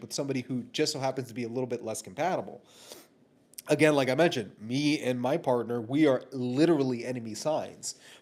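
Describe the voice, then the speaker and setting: Speaking at a very fast pace, a man uses a medium pitch and ordinary pitch variation on a very clean recording with a silent background. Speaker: relationship commentator. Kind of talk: casual monologue. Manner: loud and boisterous; passionate.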